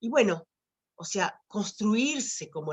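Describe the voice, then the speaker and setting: Very slow speech from a woman, with very wide pitch swings. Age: 60s. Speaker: writer and retired teacher. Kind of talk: talk at online teacher training event. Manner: halting, many fillers and repetitions.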